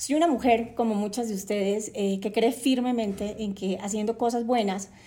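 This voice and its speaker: A woman talks at a fairly quick pace with fairly even intonation. Her tone is dark and mellow. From Colombia, Cartagena (Caribbean coast). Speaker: podcast host, journalist and entrepreneur. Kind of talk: podcast monologue. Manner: hesitant, many fillers.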